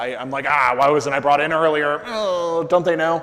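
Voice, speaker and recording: Noticeable background noise and audible room echo both fill the recording. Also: man. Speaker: conference speaker on SEO. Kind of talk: conference talk with audience Q&A. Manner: loud; casual, filler-heavy.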